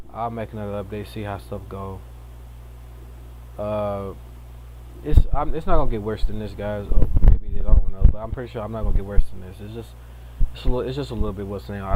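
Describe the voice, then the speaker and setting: A man's very fast speech with very wide pitch swings and big swings in loudness. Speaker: streamer / vlogger. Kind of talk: casual personal vlog. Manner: halting, many restarts.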